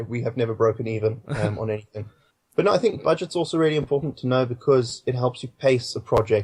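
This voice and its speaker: A man speaks in a British accent, his voice somewhat breathy and his pitch moving in an ordinary way. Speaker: filmmaker. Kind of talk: interview answer. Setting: Skype call.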